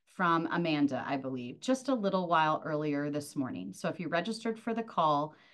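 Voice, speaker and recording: A woman with an unremarkable speaking voice speaks at a fairly low pitch, her intonation lively. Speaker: presenter. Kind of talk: webinar presentation. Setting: video call.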